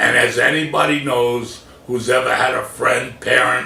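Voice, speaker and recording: A man speaking in an American accent keeps a fairly slow pace over noticeable background noise. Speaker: comedian and motivational speaker. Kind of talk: motivational speech, personal story told to camera.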